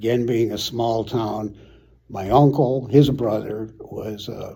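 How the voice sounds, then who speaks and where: A man with an American accent speaks at medium pitch in a dark, mellow tone, his intonation fairly even while his loudness swings widely. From US Midwest, Chicago suburbs, Illinois. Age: 70s. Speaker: retired city manager. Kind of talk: oral history interview. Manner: halting, many repeated words and fillers.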